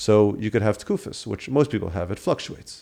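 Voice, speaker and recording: A man's fairly low, fry-tinged voice with an American accent, fairly quick pace, very clean recording and silent background. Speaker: stuttering therapy specialist. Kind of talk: interview.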